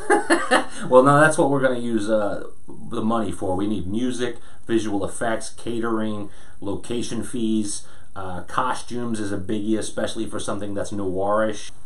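This man uses a normal speaking voice, pitched in the middle range. He keeps a moderate pace, and his intonation stays fairly even. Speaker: actor. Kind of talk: casual talk to camera. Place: home room.

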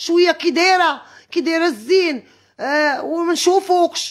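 On a very clean recording with a silent background, a woman with an extremely high pitch speaks at a moderate pace with ordinary pitch variation. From Morocco, El Jadida. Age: 40s. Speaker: wronged wife telling her story. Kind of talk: emotional testimony.

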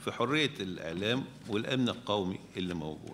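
Light background noise behind a man speaking. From Egypt. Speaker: media professor. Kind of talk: symposium panel talk. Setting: stage with audience. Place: hall. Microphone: podium.

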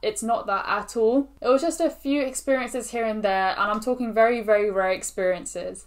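The speech runs at a fairly quick pace with hardly any pauses and ordinary pitch variation. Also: woman. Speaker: student vlogger. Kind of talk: casual vlog chat. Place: home room.

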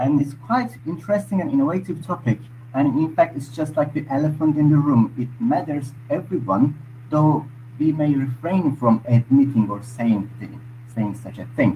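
Somewhat breathy, a man speaks at a moderate pace over light background noise. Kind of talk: discussion contribution. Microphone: video call.

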